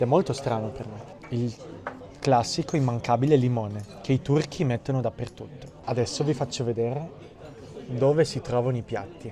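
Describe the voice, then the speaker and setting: Over noticeable background noise, a man talks with ordinary pitch variation and long, frequent pauses. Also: medium pitch for a man, moderate pace. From Italy. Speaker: Italian teacher, vlogger. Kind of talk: travel vlog narration and street interview.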